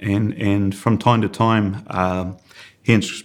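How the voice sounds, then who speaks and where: A man speaks with a New Zealand accent. His pitch is fairly low with ordinary variation. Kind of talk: podcast interview.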